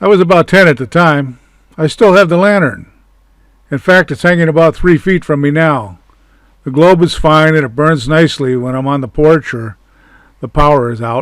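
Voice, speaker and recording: This man has a plain, everyday voice at a fairly high pitch with ordinary pitch variation. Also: moderate pace. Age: 60s. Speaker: channel owner recounting memories. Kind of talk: personal reminiscence narration.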